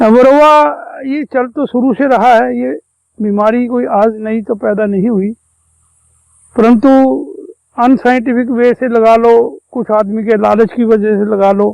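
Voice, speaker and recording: A man speaks at an extremely high pitch with fairly even intonation. His pauses are long and frequent. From Haryana, India (Kurukshetra). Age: 60s. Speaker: veteran beekeeper. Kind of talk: interview explanation.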